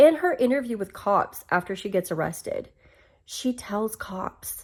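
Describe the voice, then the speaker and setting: A woman with an American accent speaks at a fairly slow pace in an animated tone, her pitch swinging very widely. The recording is very clean, with a silent background. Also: fairly high pitch for a woman. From US South. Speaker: commentary vlogger. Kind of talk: casual commentary monologue.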